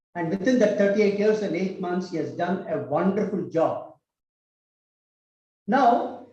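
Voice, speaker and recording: A high-pitched man with a Tamil accent, with audible room echo. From Tamil Nadu, India. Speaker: cultural institute director, speaker. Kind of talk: public speech.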